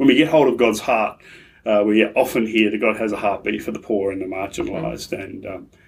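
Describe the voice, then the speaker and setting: A man at a fairly quick pace, medium in pitch, with fairly even intonation. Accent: Australian. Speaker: pastor and aid charity relationship manager. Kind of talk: interview conversation.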